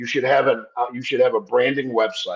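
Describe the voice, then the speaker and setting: This clip features a male speaker. It sounds dry and close, without any echo. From upstate New York, Italian-American family. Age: 60s. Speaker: insurance industry consultant. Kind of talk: podcast interview. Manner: animated.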